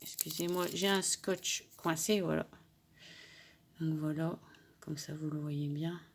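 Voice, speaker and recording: Very slow, monotone speech with flat intonation and long, frequent pauses, on a very clean recording over a silent background. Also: woman, very deep, low pitch for a woman. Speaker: crafting YouTuber. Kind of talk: tutorial.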